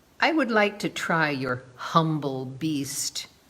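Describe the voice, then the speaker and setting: This put-on character voice moves at a very slow pace. Its pitch sits in the middle. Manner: hard, stern.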